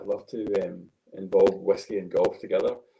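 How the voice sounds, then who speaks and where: A man in a Glaswegian accent at a fairly quick pace. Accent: Glaswegian, milder than host's. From Scotland, Glasgow. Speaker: golf coach and whisky enthusiast. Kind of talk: casual chat.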